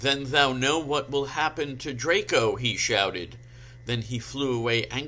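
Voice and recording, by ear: A person reads aloud in a natural voice.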